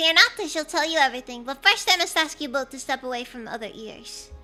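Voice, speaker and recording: Faint music plays in the background. A woman performs a put-on character voice at a very fast pace. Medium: virtual streamer. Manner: florid, courtly.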